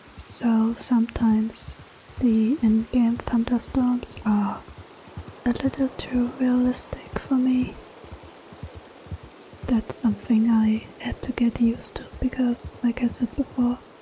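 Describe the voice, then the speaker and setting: Soft-spoken and relaxed in tone, a woman talks at a high pitch and a fairly slow pace with monotone, flat intonation amid noticeable background noise. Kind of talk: casual talk to camera. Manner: soft-spoken, relaxed.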